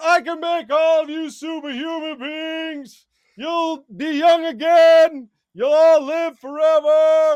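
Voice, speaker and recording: Shouting in a put-on character voice, a man goes at a fairly slow pace with an extremely high pitch. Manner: screaming, booming proclamation.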